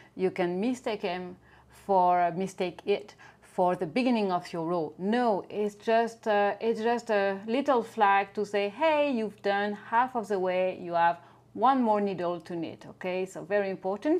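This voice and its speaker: Speaking with a French accent, a woman of medium pitch talks at a fairly slow pace with ordinary pitch variation. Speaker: knitting teacher. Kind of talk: knitting tutorial.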